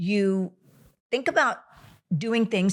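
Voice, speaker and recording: This woman talks at a moderate pace with an animated, somewhat breathy tone. The recording is very clean, with a silent background. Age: 60s. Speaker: doctor. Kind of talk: interview.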